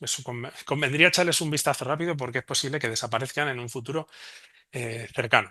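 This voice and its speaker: A man with a Spanish accent, medium pitch, ordinary pitch variation and a fairly quick pace, against a quiet background. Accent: Spanish (Spain). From Spain. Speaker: remote sensing researcher. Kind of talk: conference presentation. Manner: fast.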